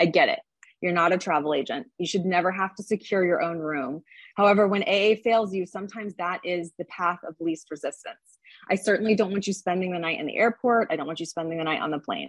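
A woman speaks at a very fast pace with medium pitch and ordinary pitch variation. The sound is dry and close, with no echo. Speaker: union committee member, airline pilot. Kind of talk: committee briefing. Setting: phone call.

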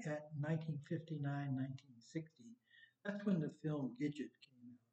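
A man with a fairly high, somewhat breathy voice and a dark, mellow tone speaks very slowly with ordinary pitch variation. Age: 70s. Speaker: surfer. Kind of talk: casual interview, storytelling. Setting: studio.

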